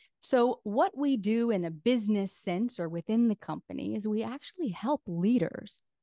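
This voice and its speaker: Lively intonation rides on a dark, mellow tone delivered at a fairly slow pace. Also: woman. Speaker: business founder, podcast coach. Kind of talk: podcast interview.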